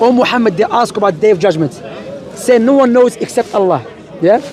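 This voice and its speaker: Over crowd noise in the background, the voice carries lively intonation at a fairly quick pace. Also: man. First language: not English. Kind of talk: street debate.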